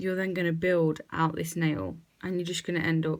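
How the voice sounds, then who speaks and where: A soft-spoken woman's voice with monotone, flat intonation. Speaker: nail technician. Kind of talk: tutorial.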